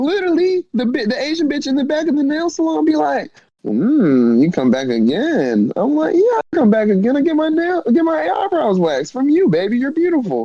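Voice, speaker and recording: A man speaks with a Southern US accent at a moderate pace. His tone is animated. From US South. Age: 20s. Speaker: rapper. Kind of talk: casual chat.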